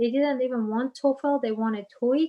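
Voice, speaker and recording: Her intonation fairly even, a woman speaks with a Persian accent. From Iran. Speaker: business manager and guest speaker. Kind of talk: Q&A talk. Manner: halting.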